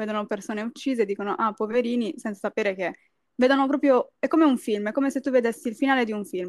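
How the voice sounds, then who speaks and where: Speaking at a very fast pace, a woman uses a fairly high pitch with ordinary pitch variation. The sound is dry and close, with no echo. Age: 20s. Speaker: university student. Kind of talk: casual chat.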